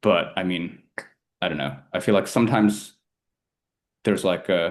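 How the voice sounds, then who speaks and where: Very deep, low male voice, American accent. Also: ordinary pitch variation. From China, after early years in the US. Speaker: polyglot, AI specialist. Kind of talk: casual interview chat. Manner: fast, filler-heavy with many 'like's.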